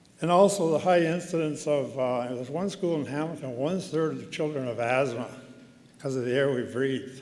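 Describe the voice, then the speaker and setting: A man's fairly high voice at a fairly quick pace, with ordinary pitch variation, audible room echo and noticeable background noise. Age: 70s. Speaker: honorary degree recipient giving convocation address. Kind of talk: convocation speech. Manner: conversational, with hesitations.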